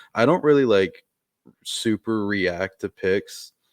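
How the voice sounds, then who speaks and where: Against a quiet background, a man speaks at a fairly slow pace in a dry, close sound without echo. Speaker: sports podcast co-host. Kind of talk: casual chat. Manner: monotone; laid-back.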